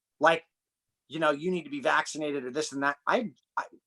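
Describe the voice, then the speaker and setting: Talking at a very fast pace, a man with an American accent uses a fairly high pitch, a bright, sharp tone and ordinary pitch variation, with a dry, close sound that has no echo. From United States. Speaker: human performance and breathing coach. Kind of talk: podcast interview conversation.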